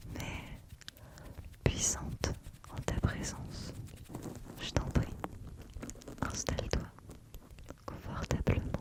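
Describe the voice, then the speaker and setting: Whispering very slowly with long, frequent pauses, a woman uses a gentle, soothing tone and big swings in loudness over noticeable background noise. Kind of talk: ASMR tarot / spiritual guide roleplay. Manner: whispered, gentle, soothing.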